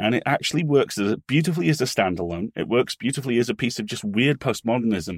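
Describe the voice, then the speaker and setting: Speaking very fast with hardly any pauses, a man with an English accent uses lively intonation at a medium pitch, in a dry, close sound with no echo and a very clean recording with a silent background. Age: 40s. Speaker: podcast company co-owner and writer. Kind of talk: casual chat.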